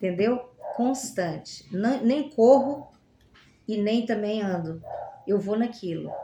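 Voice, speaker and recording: Speaking very slowly with long, frequent pauses, a woman with a fairly high pitch and ordinary pitch variation is heard in a room with audible echo. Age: 60s. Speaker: language graduate. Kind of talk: podcast interview.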